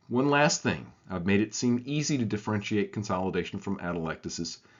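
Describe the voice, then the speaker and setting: A man with a Southern US accent, fairly quick pace and lively intonation. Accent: southern American. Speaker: radiologist teaching. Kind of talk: scripted tutorial.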